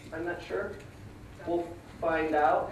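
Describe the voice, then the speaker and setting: Audible room echo surrounds a man's voice. Noticeable background noise runs underneath. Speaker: conference presenter. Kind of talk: conference presentation. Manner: animated.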